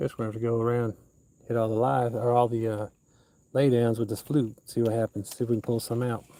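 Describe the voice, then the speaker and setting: Talking at a very fast pace, a man with a medium-pitched voice and a dark, mellow tone keeps his intonation fairly even. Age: 50s. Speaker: fishing livestreamer. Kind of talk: live stream commentary while fishing. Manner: casual, halting with fillers.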